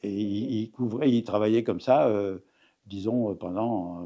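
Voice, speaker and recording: A man's dark, mellow voice, fairly low in pitch, comes through over a quiet background. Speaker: retired cooperative executive. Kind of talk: interview. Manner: halting.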